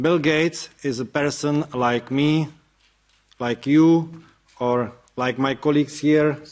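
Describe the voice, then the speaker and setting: A man with a Czech accent talks at a fairly slow pace in a fairly high pitch. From Czech Republic. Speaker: activist. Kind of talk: speech. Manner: reading from notes.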